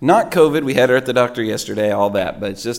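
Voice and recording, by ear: A man speaks with vocal fry, a slightly mellow tone and ordinary pitch variation.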